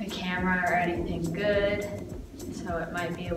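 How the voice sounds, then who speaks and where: A woman talks at a fairly slow pace. Loud background noise and audible room echo fill the recording. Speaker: vlogger. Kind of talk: casual vlog chat. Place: home room. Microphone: phone near.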